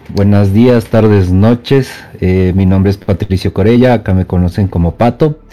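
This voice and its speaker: Amid noticeable background noise, a man with a fairly low voice speaks at a moderate pace with ordinary pitch variation and very even loudness. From Ecuador, Quito. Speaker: gaming podcast co-host. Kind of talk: casual chat. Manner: halting.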